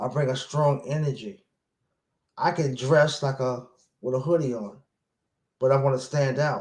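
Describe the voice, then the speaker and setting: Somewhat breathy and fairly high-pitched, a man talks at a moderate pace with fairly even intonation and long, frequent pauses. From Brooklyn, New York. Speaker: motivational speaker. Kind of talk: personal vlog monologue. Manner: repetitive, halting.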